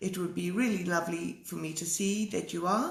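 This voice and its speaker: A woman's fairly low voice holds a fairly even intonation. There is audible room echo and noticeable background noise. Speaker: art teacher. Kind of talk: live stream talk. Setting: live video stream. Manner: hesitant, many fillers.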